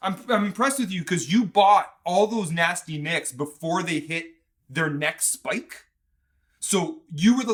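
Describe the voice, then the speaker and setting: Enthusiastic and bright, a man with a sharp tone and high pitch speaks at a moderate pace with lively intonation. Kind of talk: podcast interview host.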